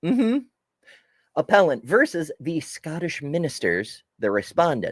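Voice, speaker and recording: At a fairly slow pace, a man with an American accent speaks with a high pitch and very wide pitch swings, the recording very clean with a silent background and a dry, close sound with no echo. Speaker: live-stream news commentator. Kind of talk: live stream commentary reading news and chat. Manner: casual, animated.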